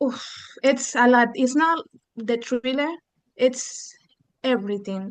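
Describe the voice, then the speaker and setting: A woman with a high voice talks fairly slowly. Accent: Spanish. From Argentina. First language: Spanish. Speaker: book club member. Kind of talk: casual chat.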